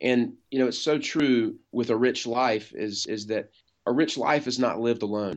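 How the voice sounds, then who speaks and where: A man with an American accent speaks at a moderate pace in a normal speaking voice. His intonation stays fairly even over a quiet background. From North Carolina, Wilmington. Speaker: insurance agency owner. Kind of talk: interview.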